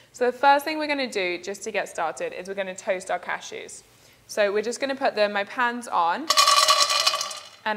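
A woman talks fairly quickly, with noticeable background noise behind her. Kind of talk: live cooking demo and product promotion. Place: kitchen. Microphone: lapel.

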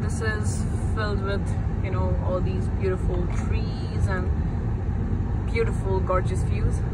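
A woman speaks at a fairly slow pace. Loud background noise runs beneath her. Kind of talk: casual travel vlog chat. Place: car. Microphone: phone near.

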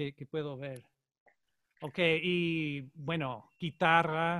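A man with an English accent speaks at a very slow pace in a bright, sharp tone with fairly even intonation. The sound is dry with no echo, against a quiet background. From Colorado, US. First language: English (speaking Spanish). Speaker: jazz saxophonist; saxophone teacher. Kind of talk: online master class; lecture. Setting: video call. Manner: halting, repeats words. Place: home room. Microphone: studio mic.

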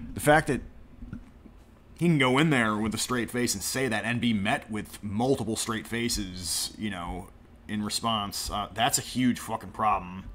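An unremarkable speaking voice, male, pitched in the middle range, its pitch varying in an ordinary way, at a moderate speed. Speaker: streamer clipping and mocking a podcast. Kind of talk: angry reaction commentary stream. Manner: sarcastic, ranting.

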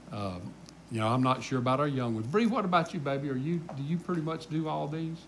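A man with a Southern US accent talks at a very fast pace, fairly high in pitch and somewhat breathy, with lively intonation over light background noise. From US South. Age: 60s. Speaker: pastor. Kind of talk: Bible study teaching. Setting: church. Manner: casual. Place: church.

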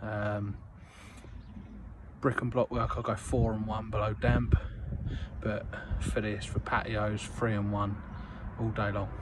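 A man's fairly low, monotone, flat voice at a fairly slow pace, with noticeable background noise. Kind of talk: casual vlog chat. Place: street. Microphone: phone near.

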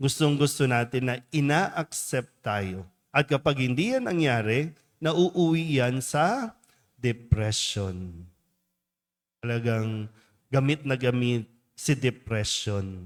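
With lively intonation, a medium-pitched man speaks at a very slow pace in a very clean recording with a silent background. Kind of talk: homily. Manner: conversational, asks audience questions.

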